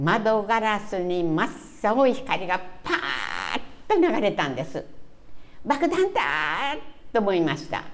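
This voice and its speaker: A woman speaks very slowly in a Hiroshima accent. Her pitch swings very widely. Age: 80s+. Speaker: atomic bomb survivor. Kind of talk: interview answer. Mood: earnest, solemn appeal. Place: meeting room.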